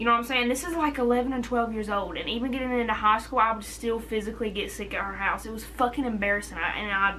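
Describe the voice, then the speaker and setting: With hardly any pauses, the speech runs at a very fast pace with ordinary pitch variation, audible room echo, and noticeable background noise. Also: woman, fairly high pitch for a woman. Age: 20s. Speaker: vlogger. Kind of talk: casual chat.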